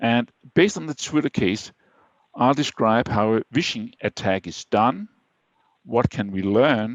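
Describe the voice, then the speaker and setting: Speaking at a fairly slow pace with a Danish accent, a man uses lively intonation and takes long, frequent pauses. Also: medium pitch for a man. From Denmark. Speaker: IT security speaker. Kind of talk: webinar presentation. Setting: online webinar.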